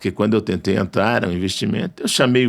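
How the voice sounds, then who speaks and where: There is vocal fry in this man's voice. His intonation is lively. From Brazil, northern Minas Gerais. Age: 60s. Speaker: radio station owner and journalist. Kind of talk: interview conversation.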